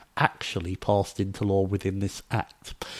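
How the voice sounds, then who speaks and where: An ordinary speaking voice at a moderate pace, dry and close with no echo, on a very clean recording with a silent background. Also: man. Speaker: radio host. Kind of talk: interview on a radio-style show.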